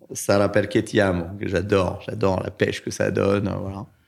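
With a fairly low voice, a man talks at a moderate speed. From Paris suburbs, France (Orly, Choisy-le-Roi). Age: 50s. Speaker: business owner, cancer survivor. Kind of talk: testimony.

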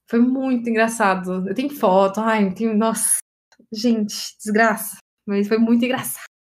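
Somewhat breathy woman's voice, fairly high, with fairly even intonation at a moderate pace. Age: 20s. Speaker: podcast host. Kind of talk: casual chat.

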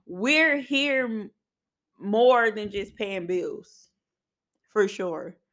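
Speaking very slowly with long, frequent pauses, a woman uses a fairly high pitch and lively intonation. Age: 30s. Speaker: podcast host. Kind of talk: casual monologue. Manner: casual, conversational.

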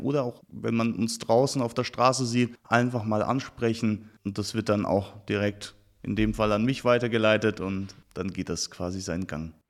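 An unremarkable speaking voice at a moderate pace with fairly even intonation, on a very clean recording with a silent background. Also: man. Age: 20s. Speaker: youth volunteer leader in traffic safety. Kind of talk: podcast interview.

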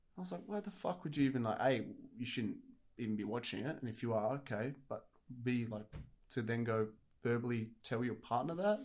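A man with an Australian accent speaks with lively intonation and long, frequent pauses. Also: medium pitch for a man, fairly quick pace. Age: 20s. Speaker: fitness podcast co-host. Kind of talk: casual chat.

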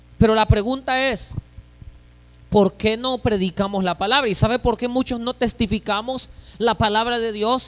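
A high-pitched man's voice at a moderate pace, fairly even in intonation, with a dry, close sound and no echo. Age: 30s. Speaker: pastor. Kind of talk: sermon.

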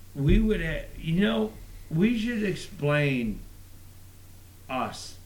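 Amid noticeable background noise, a man with a fairly high pitch speaks at a very slow pace, his pitch swinging very widely between long, frequent pauses. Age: 50s. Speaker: podcast co-host. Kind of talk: casual banter. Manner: crude, joking.

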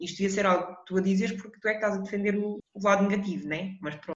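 A woman talks at a very fast pace. Room echo is audible. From Portugal, Lisbon. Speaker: podcast co-host. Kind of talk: casual chat.

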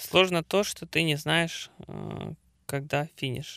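A man speaks in a bright, sharp tone. The recording is very clean and dry, close with no echo, over a silent background. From Ukraine. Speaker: amateur marathon runner and triathlete. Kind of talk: casual interview. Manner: halting, many filler sounds.

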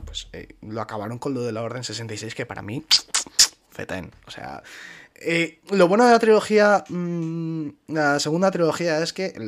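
A man talks in a fairly high voice, his pitch rising and falling across a very wide range. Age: 20s. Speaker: podcast host. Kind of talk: casual chat.

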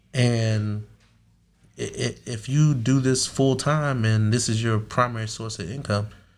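Over background music, a man with an American accent speaks with ordinary pitch variation. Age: 30s. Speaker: security company owner. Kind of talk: casual interview. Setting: studio. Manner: halting.

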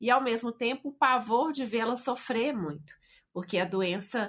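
A woman talks at a fairly slow pace in a normal speaking voice with lively intonation. The recording is very clean, with a silent background. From Brazil, Belo Horizonte. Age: 50s. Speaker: writer and speaker. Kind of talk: interview testimony.

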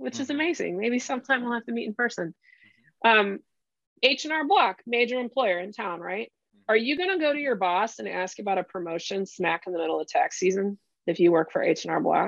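A plain, everyday voice at a moderate pace, lively in intonation, with a dry, close sound and no echo. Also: woman. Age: 40s. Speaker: career strategy coach. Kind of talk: casual chat.

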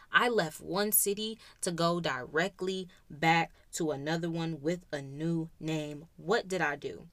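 A woman speaks at a fairly slow pace in an unremarkable speaking voice. Her pitch is fairly low, with ordinary variation. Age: 20s. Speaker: podcast host. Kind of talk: casual monologue.

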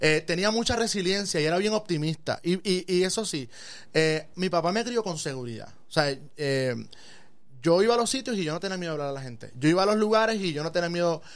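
A man with a high voice speaks at a fairly quick pace with lively intonation. The recording is very clean, with a silent background. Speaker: physician. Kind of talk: casual interview. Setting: studio.

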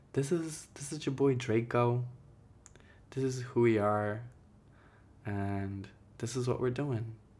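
Very slow speech in an American accent, with long, frequent pauses, ordinary pitch variation and audible room echo. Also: man, medium pitch for a man. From Jersey City, New Jersey (US), Ecuadorian-Guatemalan family. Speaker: visual artist and podcast host. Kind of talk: solo personal monologue.

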